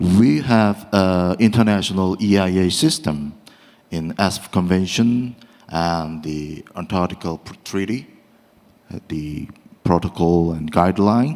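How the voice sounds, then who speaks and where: Speaking with a Korean accent, this man has a very deep, low pitch. His pace is fairly slow and his pitch variation ordinary. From South Korea. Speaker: law professor, panel discussant. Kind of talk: academic panel discussion. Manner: halting, many fillers.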